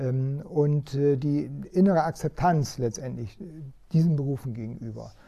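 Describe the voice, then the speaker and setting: A man with a fairly high pitch and a dark, mellow tone speaks at a moderate pace, somewhat breathy, with ordinary pitch variation. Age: 60s. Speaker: head of a chamber of crafts. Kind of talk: interview. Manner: hesitant with frequent fillers.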